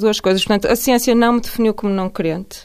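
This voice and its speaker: Using an ordinary speaking voice, a woman talks at a fairly high pitch with fairly even intonation. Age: 40s. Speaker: neuroscientist. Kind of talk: radio interview. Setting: radio studio.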